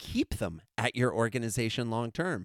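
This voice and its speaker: A man talks at a moderate pace in an animated, enthusiastic tone with lively intonation. The very clean recording has a silent background and a dry, close sound with no echo. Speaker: keynote speaker and consultant. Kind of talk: casual interview chat.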